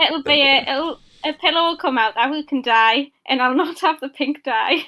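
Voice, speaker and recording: A woman with a slight Geordie accent projects a raised, bright, sharp voice at a high pitch. Her pitch varies in an ordinary way at a moderate pace. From northeast England, Newcastle area. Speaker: podcast guest, gamer. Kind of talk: casual chat.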